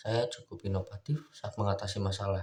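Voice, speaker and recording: Somewhat breathy male voice, fairly low in pitch with fairly even intonation, at a moderate pace on a very clean recording with a silent background. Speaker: university student. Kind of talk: mock job interview answers.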